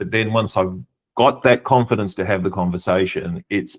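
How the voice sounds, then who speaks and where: A man talks at a moderate pace with ordinary pitch variation in an ordinary speaking voice, on a very clean recording with a silent background. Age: 60s. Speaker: executive coach and nonprofit leader. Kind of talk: podcast interview.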